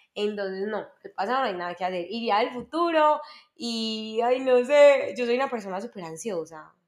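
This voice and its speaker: A woman speaks at a fairly high pitch and a moderate pace. Her intonation is lively and her loudness swings widely. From Colombia, Medellín. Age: 20s. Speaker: lawyer and entrepreneur, podcast co-host. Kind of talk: casual interview chat among friends.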